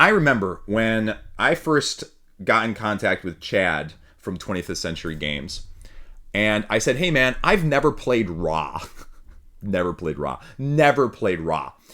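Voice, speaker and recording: With a Michigan accent, a man talks at a fairly slow pace in a fairly low pitch, his tone bright and sharp and his pitch swinging very widely. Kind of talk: casual podcast.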